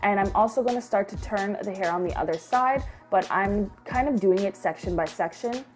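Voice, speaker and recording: A woman at a moderate pace, medium pitch, ordinary pitch variation. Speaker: wig maker. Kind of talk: hair tutorial narration. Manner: casual, conversational.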